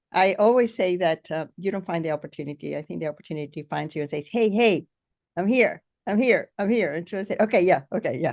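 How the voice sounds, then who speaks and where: Dry and close with no echo, a woman's fairly low voice moves at a very fast pace with lively intonation. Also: quiet background. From Venezuela. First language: Spanish. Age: 60s. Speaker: podcast host. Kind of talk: interview.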